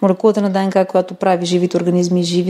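The speaker talks in a flat, monotone way against noticeable background noise. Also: woman. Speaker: molecular biologist. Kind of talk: interview.

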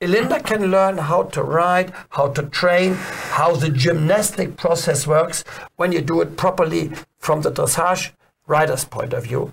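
This man has a German accent and a high pitch. He talks at a fairly slow pace with ordinary pitch variation. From Germany. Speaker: dressage trainer. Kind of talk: interview.

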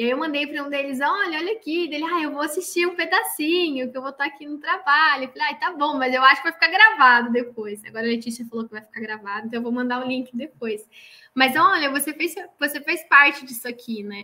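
A woman's raised, projected voice, high in pitch with a bright, sharp tone, at a very fast pace with lively intonation and big swings in loudness. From Santa Catarina, Brazil (northern interior). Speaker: chemical engineer, production coordinator. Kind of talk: interview about career.

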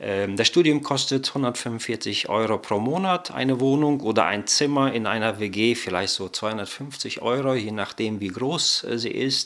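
A very slow delivery with hardly any pauses and ordinary pitch variation, against noticeable background noise. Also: man, medium pitch for a man. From Germany, came from Kazakhstan as child. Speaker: bible college director of studies. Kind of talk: interview.

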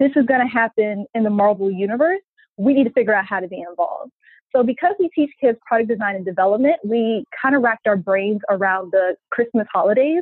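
Using an ordinary speaking voice, a woman talks at a fairly quick pace and a fairly high pitch. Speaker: nonprofit founder. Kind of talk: interview conversation.

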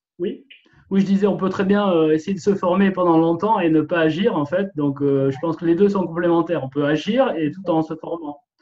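With ordinary pitch variation, the speaking proceeds at a moderate pace. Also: man, high pitch for a man. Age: 40s. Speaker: real estate investor and paramedical worker. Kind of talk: interview. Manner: halting, many repetitions and fillers.

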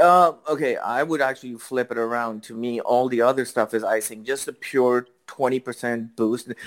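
A man with an unremarkable speaking voice, medium pitch, fairly even intonation, a moderate pace and hardly any pauses. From Canada, Toronto. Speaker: mobile game player guest. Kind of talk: casual chat.

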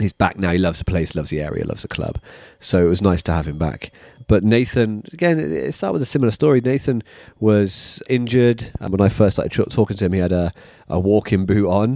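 A man with a British accent talks very fast in a fairly low, dark, mellow voice with lively intonation, on a very clean recording with a silent background. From UK. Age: 30s. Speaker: personal trainer / fitness business owner. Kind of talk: monologue about career. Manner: halting, many fillers and repeats.

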